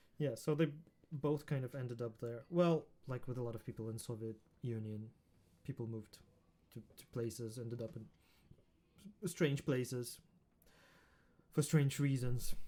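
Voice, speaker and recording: With a Russian accent, a man speaks at a moderate pace and medium pitch in a dark, mellow tone, with long, frequent pauses and big swings in loudness. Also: ordinary pitch variation. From Ukraine (Odessa), born in Riga. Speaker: musician. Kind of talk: casual chat.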